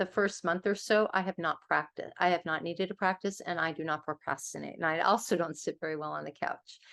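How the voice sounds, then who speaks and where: Speaking at a fairly quick pace in a plain, everyday voice, a woman with a fairly low pitch and ordinary pitch variation is heard against a quiet background. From US West Coast, Los Angeles. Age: 60s. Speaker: author and interfaith organization leader. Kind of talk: workshop presentation.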